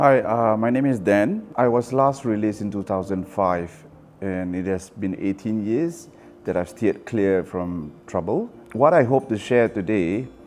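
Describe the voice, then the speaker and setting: A man with a Singaporean accent, fairly low pitch, fairly slow pace and ordinary pitch variation. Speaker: ex-offender. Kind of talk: interview testimony.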